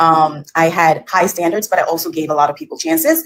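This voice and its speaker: A woman's fairly low-pitched voice at a fairly quick pace. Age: 30s. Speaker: caller. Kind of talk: casual chat. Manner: hesitant, many fillers.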